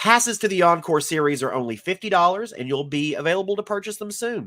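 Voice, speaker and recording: A man speaks at a fairly quick pace with a fairly high pitch and very wide pitch swings, on a very clean recording with a silent background. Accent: Southern US. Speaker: film festival director. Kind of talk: scripted announcement video. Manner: playful, upbeat.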